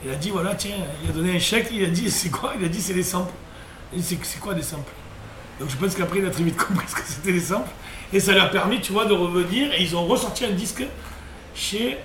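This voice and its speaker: Very fast speech with ordinary pitch variation and long, frequent pauses, amid audible room echo and noticeable background noise. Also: man, high pitch for a man. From southern France, Sète area. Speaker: former sports journalist, web radio co-founder. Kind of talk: casual chat.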